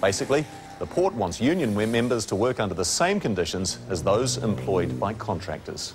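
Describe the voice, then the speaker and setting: Over music in the background, a man with a fairly low voice speaks at a moderate pace with very wide pitch swings. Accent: New Zealand. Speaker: TV news reporter. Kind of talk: scripted news explainer.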